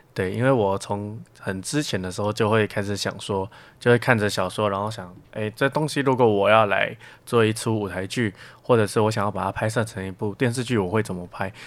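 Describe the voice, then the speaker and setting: An ordinary speaking voice from a man, fairly low in pitch, fairly quick and fairly even in intonation, in a very clean recording with a silent background. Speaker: university student. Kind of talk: casual interview.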